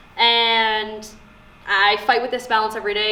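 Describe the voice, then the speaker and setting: Audible room echo surrounds a woman speaking in a medium pitch with a Canadian accent. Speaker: sports broadcaster. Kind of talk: casual talk to students. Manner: casual with fillers.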